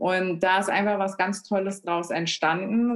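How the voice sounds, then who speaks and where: A woman's fairly low-pitched voice. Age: 30s. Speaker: self-help group leader and patient. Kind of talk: casual interview. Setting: remote call.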